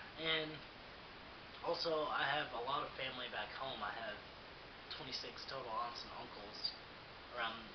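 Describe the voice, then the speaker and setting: With an American accent, a man speaks at a moderate pace and medium pitch, with ordinary pitch variation and long, frequent pauses, amid noticeable background noise and audible room echo. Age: 20s. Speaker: student. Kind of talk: personal monologue. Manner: hesitant with fillers.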